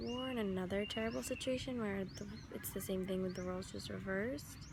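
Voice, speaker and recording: A soft-spoken woman talks, with audible echo from the room. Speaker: travel vlogger. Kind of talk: travel vlog narration.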